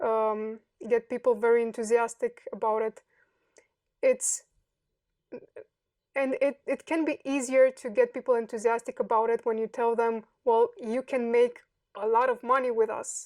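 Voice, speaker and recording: A woman with a Romanian accent speaks at a high pitch in a monotone, flat intonation at a moderate pace, with long, frequent pauses. The recording is very clean with a silent background and a dry, close sound with no echo. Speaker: software developer. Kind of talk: interview. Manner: halting.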